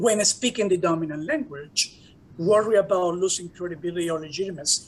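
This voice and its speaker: Speaking with a Spanish accent, a man uses a high voice with ordinary pitch variation. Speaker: professor and diversity director. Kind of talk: conference talk.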